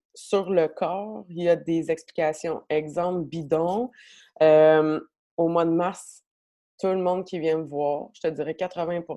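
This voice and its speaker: Speaking with a Quebec accent, a woman has a fairly low pitch and a dark, mellow tone. Her pace is very slow. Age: 30s. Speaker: massage therapist. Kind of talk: casual interview chat. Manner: animated.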